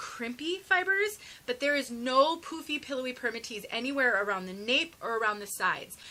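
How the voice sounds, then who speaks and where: A woman projects her raised, high voice in a bright, sharp tone with lively intonation. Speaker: wig reviewer. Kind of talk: product review tutorial. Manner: fast.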